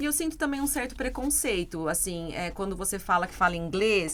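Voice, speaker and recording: Her pitch sits at medium for a woman yet swings very widely as she speaks. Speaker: English teacher. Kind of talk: casual chat.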